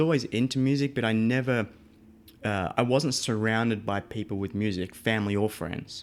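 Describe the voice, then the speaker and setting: A man with an Australian accent, his pitch medium and his pace moderate. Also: very clean recording, silent background. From Australia, Melbourne. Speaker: audio engineer. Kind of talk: interview.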